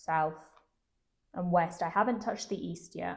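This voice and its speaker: Somewhat breathy, a woman with an English accent speaks with fairly even intonation. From London, England. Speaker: travel interview guest. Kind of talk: interview.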